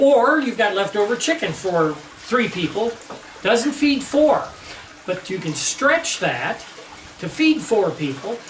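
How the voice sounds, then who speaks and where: Over noticeable background noise, a man with an extremely high voice speaks at a fairly slow pace, with very wide pitch swings and long, frequent pauses. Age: 60s. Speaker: home cook. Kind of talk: cooking tutorial. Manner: casual, conversational.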